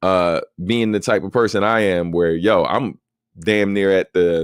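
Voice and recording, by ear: A man speaks at a low pitch and a fairly slow pace, with a clear, smooth tone and ordinary pitch variation. The recording is very clean, with a silent background.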